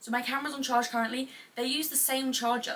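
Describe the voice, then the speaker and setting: A woman uses a raised, projected voice, high in pitch and animated in tone, at a moderate pace. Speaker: podcaster / YouTuber. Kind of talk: casual chat.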